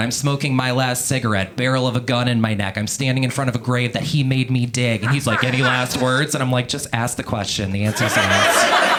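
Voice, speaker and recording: A man's medium-pitched voice, fairly quick with hardly any pauses, fairly even intonation and very even loudness, over noticeable background noise. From Louisiana. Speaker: stand-up comedian. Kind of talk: stand-up. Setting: comedy club stage with audience.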